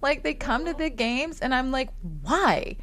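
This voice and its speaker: A woman speaks at a moderate pace in a high, animated voice. Her pitch swings very widely. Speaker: team reporter and show host. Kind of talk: live stream casual chat.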